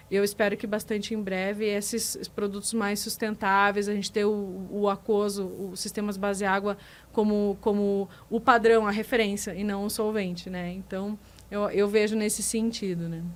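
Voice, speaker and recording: A woman speaks at a moderate pace with a strong southern Brazilian accent. Her intonation is monotone and flat. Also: medium pitch for a woman. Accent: gaúcho accent, strong. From Rio Grande do Sul, Brazil. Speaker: business manager at a resin supplier. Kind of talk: podcast interview. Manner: hesitant, many repetitions.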